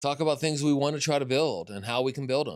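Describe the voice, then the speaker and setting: A man's fairly quick speech in a very clean recording with a silent background. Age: 50s. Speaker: game developer. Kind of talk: livestream Q&A. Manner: halting.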